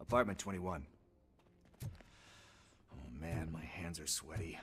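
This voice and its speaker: Over clear background noise, a man uses a raspy, put-on character voice with a very deep, low pitch, ordinary pitch variation and a fairly slow pace. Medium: video game. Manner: jokey, fidgety.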